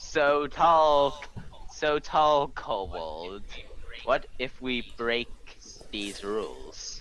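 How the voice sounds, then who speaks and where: A man's put-on character voice at medium pitch, very slow, with long, frequent pauses and clear background noise. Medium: actual play. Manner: playful.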